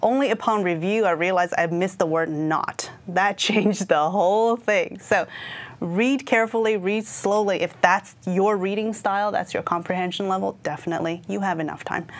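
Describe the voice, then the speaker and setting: A woman speaks at a medium pitch and a moderate pace. Her pitch variation is ordinary. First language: not English. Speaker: IT certification trainer. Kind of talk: exam prep discussion. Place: studio. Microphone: lapel.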